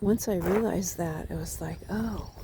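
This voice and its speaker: A woman at a fairly slow pace amid audible room echo. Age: 60s. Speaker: life coach vlogger. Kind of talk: casual walk-and-talk monologue. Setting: outdoors, walking in woods.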